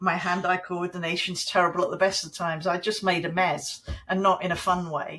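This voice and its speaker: A woman speaks in a British accent. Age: 60s. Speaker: creative coach and former magazine editor. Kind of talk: podcast interview.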